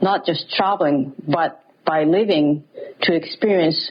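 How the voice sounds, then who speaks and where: Against noticeable background noise, a woman speaks at a fairly slow pace in a fairly low pitch with fairly even intonation. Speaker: interviewee sharing story. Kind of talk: personal story.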